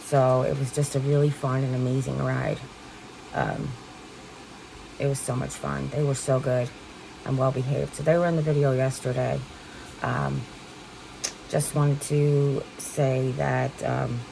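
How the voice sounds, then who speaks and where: Long, frequent pauses break up a woman's speech amid noticeable background noise. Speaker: vlogger with stage 4 kidney cancer. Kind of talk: casual talk to camera.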